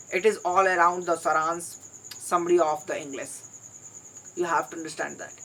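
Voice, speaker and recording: A fairly quick pace broken by long, frequent pauses, in an Indian accent, over noticeable background noise. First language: Hindi. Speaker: English learner vlogger. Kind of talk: solo vlog monologue.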